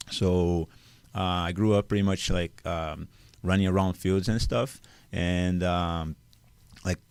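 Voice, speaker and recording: A man speaks very slowly at a very deep, low pitch with fairly even intonation and long, frequent pauses. The recording is very clean, with a silent background. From Brazil. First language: Portuguese. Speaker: youth soccer coach, former pro player. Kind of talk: podcast interview. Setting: studio. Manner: loud; halting.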